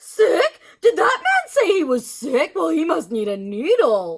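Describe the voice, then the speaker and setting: In a put-on character voice with a high pitch, the speaker talks at a fairly slow pace. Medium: read story. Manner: brisk, matter-of-fact.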